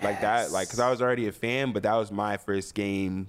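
Speaking at a fairly quick pace with fairly even intonation, a man with an American accent has an ordinary speaking voice, fairly low in pitch. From North Jersey, US. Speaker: hip-hop artist. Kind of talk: casual chat.

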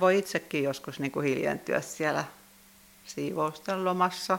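Fairly even in intonation and fairly slow in pace, a woman talks in an unremarkable speaking voice. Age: 60s. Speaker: church sexton. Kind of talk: interview.

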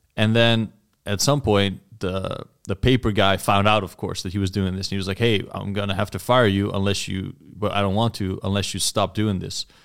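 A man speaks at a moderate pace with a fairly low pitch and monotone, flat intonation. The recording is very clean with a silent background. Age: 20s. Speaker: podcast guest, former college baseball player. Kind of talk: casual chat.

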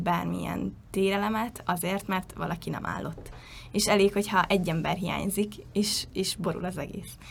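A woman's medium-pitched voice with vocal fry. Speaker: cheerleader and university student. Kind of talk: interview.

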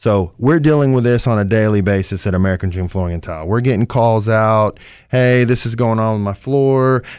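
A man talks in an unremarkable speaking voice at a medium pitch with ordinary pitch variation. The recording is very clean with a silent background. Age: 40s. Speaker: flooring company owner. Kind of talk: radio talk show interview.

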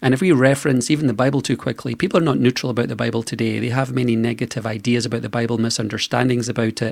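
Laced with vocal fry, the speech rushes at a very fast pace with hardly any pauses and fairly even intonation. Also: man, medium pitch for a man. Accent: Scottish. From Scotland. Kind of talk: radio interview.

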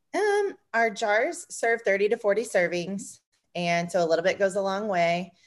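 A woman with an American accent talks at a fairly slow pace and a medium pitch, with ordinary pitch variation. Her loudness is very even, and the background is quiet. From Indiana, US Midwest. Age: 30s. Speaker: small business co-owner. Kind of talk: podcast interview.

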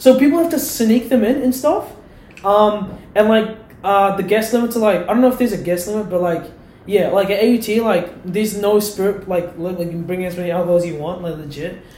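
A man's high-pitched voice at a fairly quick pace, ordinary pitch variation, audible room echo and noticeable background noise. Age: young. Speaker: university student. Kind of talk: casual chat.

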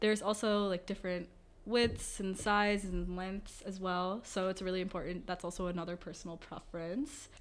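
Using an ordinary speaking voice, a woman speaks at a moderate pace and medium pitch with fairly even intonation. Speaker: student club officer. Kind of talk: interview conversation.

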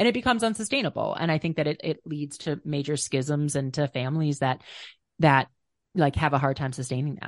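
A woman with an American accent talks at a fairly quick pace, her very deep, low pitch carrying lively intonation. The sound is dry and close with no echo, against a quiet background. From US Midwest, Minnesota. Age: 40s. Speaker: rock climber, author and social entrepreneur. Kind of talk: podcast interview.

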